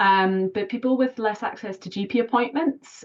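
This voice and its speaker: A woman speaks in a Scottish accent with ordinary pitch variation. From Scotland. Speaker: general practitioner. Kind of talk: online clinical discussion.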